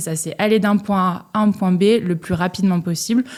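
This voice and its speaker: The tone is dark and mellow. Its intonation stays fairly even at a moderate pace. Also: woman. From Strasbourg, Alsace, France. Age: 30s. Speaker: ultra cyclist. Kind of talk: podcast interview. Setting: studio.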